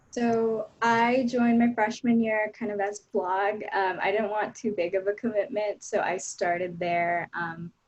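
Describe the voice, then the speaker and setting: A woman's unremarkable speaking voice, fairly high in pitch, fairly slow and fairly even in intonation, with hardly any pauses. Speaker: education reporter. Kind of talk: panel discussion.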